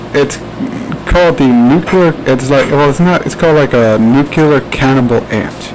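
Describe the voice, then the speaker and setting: Noticeable background noise accompanies a man with an American accent who talks at a fairly quick pace with ordinary pitch variation. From New Jersey, US. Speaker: podcast host. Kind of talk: casual chat. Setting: live stream. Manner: halting.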